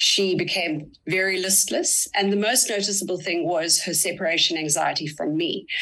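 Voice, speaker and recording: A woman with an Australian accent at medium pitch and a moderate pace, with ordinary pitch variation and noticeable background noise. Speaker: parent and online child safety advocate. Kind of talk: interview, personal account.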